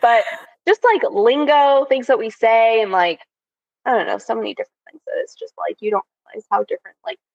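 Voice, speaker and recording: Recorded with a dry, close sound and no echo, a woman speaks at a fairly quick pace. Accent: American. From California. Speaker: podcast co-host. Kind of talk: casual chat. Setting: remote recording.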